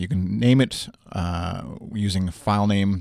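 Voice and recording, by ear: A man speaks at a fairly slow pace in a low pitch, with ordinary pitch variation, a slightly mellow tone and vocal fry. The recording is very clean, with a silent background.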